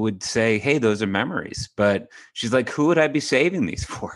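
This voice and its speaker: Against a quiet background, a man talks at a moderate pace with lively intonation. He has a normal speaking voice. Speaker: podcast co-host. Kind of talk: podcast discussion.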